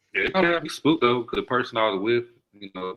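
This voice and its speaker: Speaking with an American accent, a man talks at a fairly quick pace with medium pitch. His intonation is lively. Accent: regional accent that stands out in Chicago. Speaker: podcast guest. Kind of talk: casual chat.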